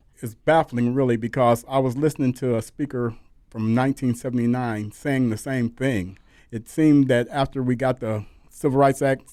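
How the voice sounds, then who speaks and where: A man with an American accent speaks in a normal speaking voice at medium pitch, with fairly even intonation and a moderate pace. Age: 60s. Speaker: pastor and civil rights leader. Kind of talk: radio interview.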